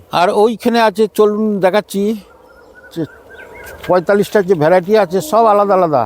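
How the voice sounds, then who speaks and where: With noticeable background noise behind him, a man speaks in a high pitch with fairly even intonation, the sound dry and close with no echo. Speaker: nursery owner. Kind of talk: casual interview during nursery tour.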